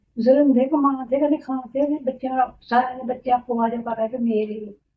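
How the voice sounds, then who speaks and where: A woman speaks in a high pitch. Her intonation is monotone and flat. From India. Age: 80s+. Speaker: village grandmother. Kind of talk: interview answer.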